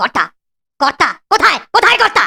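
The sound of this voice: A man's cartoonish character voice, extremely high-pitched, bright and sharp, with vocal fry, big pitch swings and a fast pace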